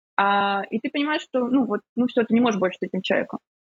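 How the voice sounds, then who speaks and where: A woman talking at a very fast pace with ordinary pitch variation. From Ukraine. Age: 30s. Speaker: psychotherapist. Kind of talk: casual chat.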